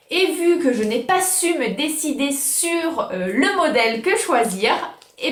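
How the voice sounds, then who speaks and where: Animated in tone, a woman's voice makes very wide pitch swings, with noticeable background noise and audible room echo. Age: 20s. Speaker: YouTuber. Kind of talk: casual haul video.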